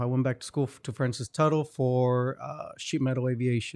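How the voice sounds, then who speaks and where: A man talks in a medium pitch with a Spanish accent. His pace is moderate. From Hidalgo, Mexico, then Oklahoma. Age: 30s. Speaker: entrepreneur and merchant liaison. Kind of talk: casual interview chat.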